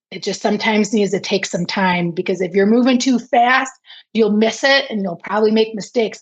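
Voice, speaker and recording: Somewhat breathy and with an American accent, the voice moves at a moderate pace with ordinary pitch variation. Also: woman. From Detroit, Michigan, US. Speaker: business owner. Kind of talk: interview.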